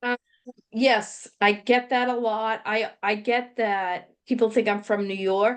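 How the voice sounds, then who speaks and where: Speaking very slowly in a strong Boston accent, a woman uses a monotone, flat intonation at a fairly high pitch. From Boston area. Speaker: podcast co-host. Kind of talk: casual chat.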